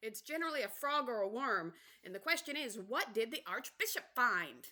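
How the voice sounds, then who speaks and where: In a put-on character voice, a female-sounding speaker projects loudly at a fairly high pitch and moderate pace. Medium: read story.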